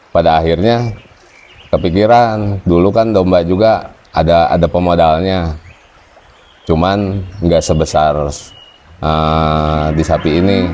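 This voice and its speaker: A man talks at a very slow pace with a very deep, low pitch and long, frequent pauses. His loudness stays very even and his intonation fairly even, with noticeable background noise. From West Java (Tasikmalaya). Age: 20s. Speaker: cattle farmer. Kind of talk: interview testimony. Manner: casual, with hesitations.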